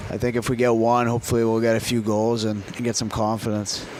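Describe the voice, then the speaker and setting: There is noticeable background noise as a man speaks with an American accent. He talks at a very fast pace in a medium pitch. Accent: Boston accent, fading, picking up Southern. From Boston area, US. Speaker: hockey player. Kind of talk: casual interview chat. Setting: live broadcast at a venue.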